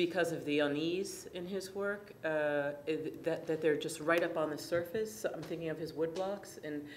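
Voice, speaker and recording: A woman talks with hardly any pauses and fairly even intonation, her voice carrying an audible room echo. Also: fairly low pitch for a woman, moderate pace. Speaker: artist. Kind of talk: onstage conversation. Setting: conference stage with audience. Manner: halting, many fillers and restarts; loud.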